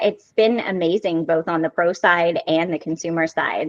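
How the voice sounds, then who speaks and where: A slight Southern US accent in a dry, close sound with no echo. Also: woman. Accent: slight Southern American. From US South. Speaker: hair stylist and brand educator. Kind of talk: interview.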